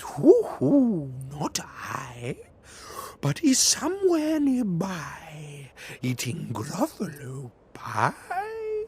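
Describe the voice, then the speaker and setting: Using a put-on character voice, a man talks at a very slow pace in a high pitch. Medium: read story.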